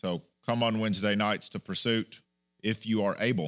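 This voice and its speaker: A man talks at a moderate pace. His pitch is fairly low, with ordinary variation. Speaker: pastor. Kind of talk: sermon. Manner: loud; animated.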